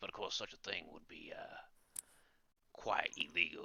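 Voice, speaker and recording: A man puts on a character voice. He does it in a strong Cockney accent. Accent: deep Cockney. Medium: actual play. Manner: gruff, dismissive.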